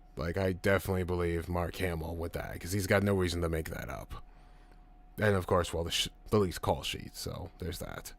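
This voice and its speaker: In a very clean recording with a silent background, a man can be heard talking. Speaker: streamer discussing films. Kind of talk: live stream chat reading viewer comments. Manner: casual, stumbling over words.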